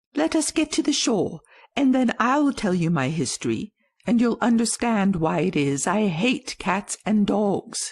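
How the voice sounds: In a very clean recording with a silent background, a shaky, fairly high put-on character voice moves at a moderate pace.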